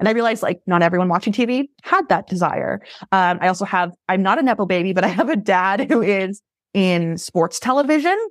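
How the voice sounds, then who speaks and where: Fairly quick speech in an American accent with very even loudness, on a very clean recording with a silent background. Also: woman, medium pitch for a woman. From Massachusetts, south of Boston. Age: 20s. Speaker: reality TV casting producer. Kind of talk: casual chat.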